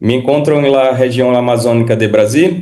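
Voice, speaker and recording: A man with a Portuguese accent speaks at medium pitch in a dark, mellow tone, with audible room echo. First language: Portuguese (speaking Spanish). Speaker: physician. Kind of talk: lecture. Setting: video call. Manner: formal.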